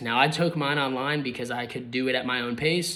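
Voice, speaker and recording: A man's bright, sharp tone at a fairly high pitch. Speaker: real estate agent. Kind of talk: tutorial. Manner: fast; casual, filler-heavy.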